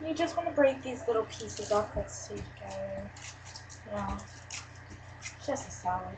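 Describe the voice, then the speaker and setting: Over noticeable background noise and audible room echo, a woman speaks at a moderate pace with long, frequent pauses. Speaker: cooking channel host. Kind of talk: cooking tutorial. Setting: grandma's house, webcam. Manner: casual, hesitant with fillers.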